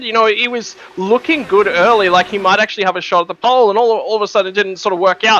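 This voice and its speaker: A very fast-talking man with an Australian accent, high-pitched, with ordinary pitch variation and noticeable background noise. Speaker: esports racing commentator. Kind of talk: live commentary.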